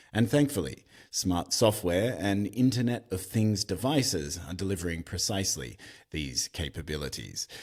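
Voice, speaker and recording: Very clean and silent in the background, the recording captures a man at a moderate pace. His very deep, low pitch carries vocal fry and lively intonation. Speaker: podcast host. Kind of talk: scripted podcast intro.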